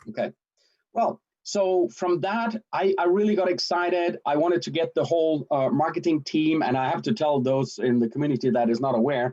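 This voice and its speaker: The tone is dark and mellow, with lively intonation. The pace is moderate. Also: man, fairly high pitch for a man. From Denmark. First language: Danish. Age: 50s. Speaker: sales and marketing director. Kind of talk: livestream self-introduction. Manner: animated.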